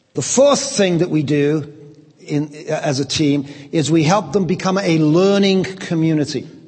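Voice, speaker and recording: A man at a fairly slow pace with ordinary pitch variation, over noticeable background noise with audible room echo. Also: fairly high pitch for a man. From England, Liverpool. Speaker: pastor and church leadership trainer. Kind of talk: lecture delivered through an interpreter. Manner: speaks in short segments paused for interpretation.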